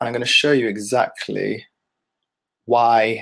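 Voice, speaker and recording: A man with a London accent against a quiet background. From London, England. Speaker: digital marketing agency owner; ads instructor. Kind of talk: webinar tutorial. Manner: fast. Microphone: webcam.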